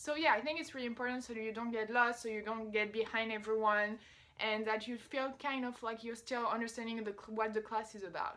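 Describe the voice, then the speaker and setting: A woman with a French accent speaks at a fairly quick pace in a fairly high pitch, her tone bright and sharp and her intonation fairly even. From France. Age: 20s. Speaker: vlogger. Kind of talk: casual advice vlog. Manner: casual, conversational.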